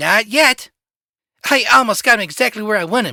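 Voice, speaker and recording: A man's put-on character voice, high in pitch, at a moderate pace on a very clean recording with a silent background. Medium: read story.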